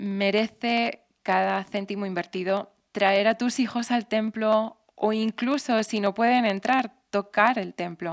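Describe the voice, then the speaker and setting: A woman with an English accent on a very clean recording with a silent background. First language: English (speaking Spanish). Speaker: temple matron, missionary. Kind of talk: interview.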